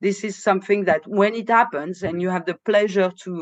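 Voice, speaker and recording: In a French accent, a woman talks at a moderate pace with a medium pitch. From France, Moroccan family. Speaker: vocalist and improviser. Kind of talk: casual podcast interview. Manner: halting, many fillers.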